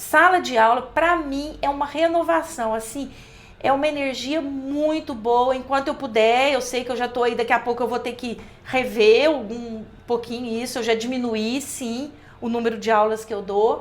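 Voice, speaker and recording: A woman speaks at a moderate pace in a high voice. Audible room echo surrounds her. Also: ordinary pitch variation. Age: 60s. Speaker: college professor. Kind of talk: podcast interview.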